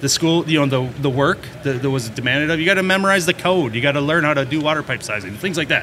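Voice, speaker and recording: A man with an American accent at a fairly high pitch, racing at a very fast pace with hardly any pauses, ordinary pitch variation, and noticeable background noise. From Minnesota. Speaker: plumbing and heating contractor. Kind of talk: casual interview.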